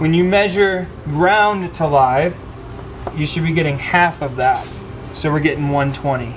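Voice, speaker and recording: A man speaks at a fairly slow pace with a fairly high pitch, over noticeable background noise and with audible room echo. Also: ordinary pitch variation. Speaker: equipment technician trainer. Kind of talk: hands-on technical training. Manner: hesitant, many fillers; quiet.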